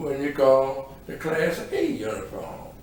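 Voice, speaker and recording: A man's medium pitch amid audible room echo and noticeable background noise. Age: 70s. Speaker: retired city constable, community leader. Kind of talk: podcast interview, reflective casual talk.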